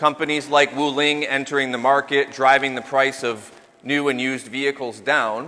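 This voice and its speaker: With an American accent, a man speaks in an unremarkable speaking voice at a moderate pace, fairly high in pitch and with fairly even intonation. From United States. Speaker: company founder and CEO giving a business talk. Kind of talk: business presentation.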